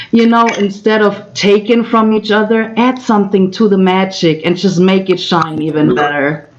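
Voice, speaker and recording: Noticeable background noise accompanies a woman with a German accent. She speaks at medium pitch and a moderate pace with ordinary pitch variation. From Germany. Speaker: co-host of livestream. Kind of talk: casual livestream chat. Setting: virtual livestream.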